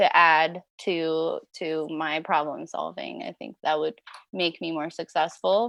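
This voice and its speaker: A woman speaks at a very slow pace. Her loudness swings widely. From California Bay Area, born in France. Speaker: snow grooming operator. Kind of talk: podcast interview.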